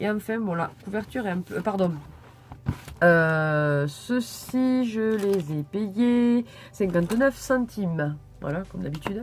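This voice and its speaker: A woman talks at a very slow pace with a medium pitch. Her intonation is lively. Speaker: YouTuber showing purchases. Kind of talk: haul video, casual chat to camera. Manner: hesitant, many fillers.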